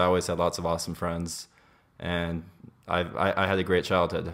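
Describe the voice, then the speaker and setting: A man with an American accent speaks at a fairly quick pace. His voice is very deep and low. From US, Los Angeles. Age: 20s. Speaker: podcast guest. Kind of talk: casual chat. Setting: kitchen. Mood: candid, relaxed. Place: home room.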